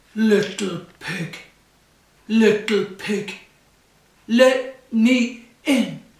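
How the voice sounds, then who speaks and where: Someone puts on a fairly high-pitched character voice and speaks at a very slow pace. Long pauses come often, with a slight echo in the room. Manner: menacing, demanding.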